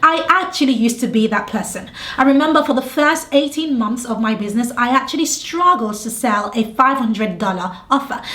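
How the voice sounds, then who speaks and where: With a British accent, a woman speaks in a high, animated voice at a fairly quick pace with hardly any pauses. Noticeable background noise and audible room echo fill the recording. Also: lively intonation. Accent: British (UK). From England, London. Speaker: business coach. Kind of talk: tutorial.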